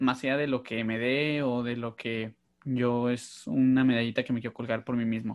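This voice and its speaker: Monotone and flat, a man's medium-pitched voice comes through. He keeps a moderate pace. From northern Mexico, Mexicali. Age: 30s. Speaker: podcast host. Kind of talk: casual chat.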